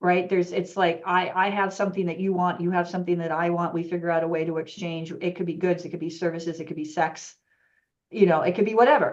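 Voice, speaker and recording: Fairly low in pitch, a woman rattles off her words at a very fast pace. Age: 60s. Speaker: yoga business coach. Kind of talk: casual chat.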